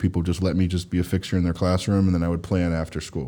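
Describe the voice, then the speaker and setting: The voice has a dark, mellow tone and monotone, flat intonation with an American accent. The recording is very clean with a silent background. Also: man. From New Jersey. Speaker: high school principal. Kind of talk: interview conversation. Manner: halting, many fillers.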